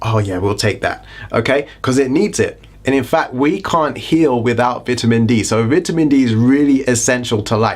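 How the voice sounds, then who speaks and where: A man with a British accent speaks at a moderate pace in an animated tone, his pitch medium with ordinary variation. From Britain. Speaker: health and lifestyle YouTuber. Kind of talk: casual educational vlog.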